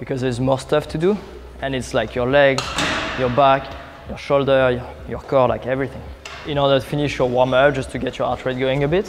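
A man talks at a fairly quick pace with fairly even intonation, and noticeable background noise runs underneath. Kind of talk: tutorial. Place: gym. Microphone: lapel.

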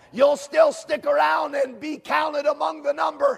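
Shouting at a moderate pace over a quiet background. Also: man. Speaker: preacher. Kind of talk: sermon. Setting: camp meeting. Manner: fervent, exhorting, with frequent amens and hallelujahs. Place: hall.

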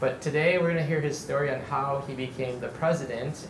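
A man's fairly quick, fairly evenly intoned speech over noticeable background noise. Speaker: event host. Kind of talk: event introduction to audience. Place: cafe.

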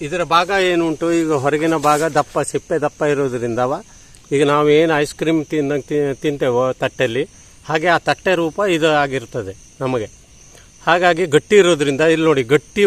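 A man talks in a plain, everyday voice. His pitch is fairly high, with ordinary pitch variation. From Uttara Kannada, Karnataka (Sirsi). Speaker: farmer and mango variety conservationist. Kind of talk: casual explanation on camera.

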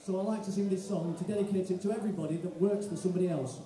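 Audible room echo surrounds a man's high voice with a dark, mellow tone. He talks very fast with fairly even intonation.

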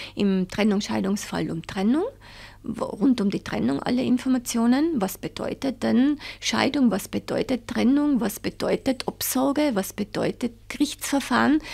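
With vocal fry, a woman speaks at a fairly slow pace. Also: fairly high pitch for a woman, lively intonation. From Tyrol, Austria (Reith bei Seefeld). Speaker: head of a child support organisation. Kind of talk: interview.

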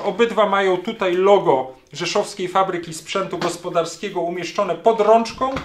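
High-pitched male voice at a moderate pace, with ordinary pitch variation and light background noise. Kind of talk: tutorial commentary. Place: workshop.

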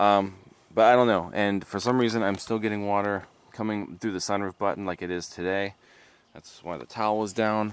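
A man's fairly low voice at a moderate pace, dry with no echo. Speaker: car vlogger. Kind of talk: casual vlog chat. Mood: mildly frustrated. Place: street. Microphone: phone near.

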